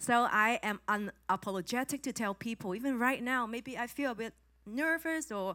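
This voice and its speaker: A woman with a Chinese accent, fairly high pitch, bright, sharp tone and lively intonation at a moderate pace, in a very clean recording with a silent background. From Hong Kong. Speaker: former corporate trainer, new preacher. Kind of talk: testimony. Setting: church conference with audience.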